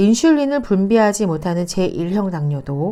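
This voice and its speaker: A woman with a dark, mellow tone speaks at a fairly slow pace. Her pitch swings very widely. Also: very clean recording, silent background. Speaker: YouTuber, direct sales distributor. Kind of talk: reading aloud.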